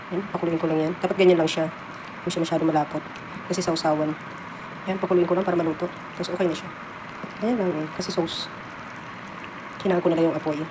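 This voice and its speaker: A woman's fairly low, monotone, flat voice at a very fast pace, broken by long, frequent pauses, with noticeable background noise. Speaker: cooking vlogger, household worker abroad. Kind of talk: cooking tutorial.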